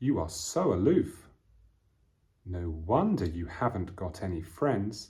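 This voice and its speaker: Very slowly, a man speaks with a British accent. His voice is fairly low and somewhat breathy. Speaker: English teacher. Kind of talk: lesson. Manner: slow and clear.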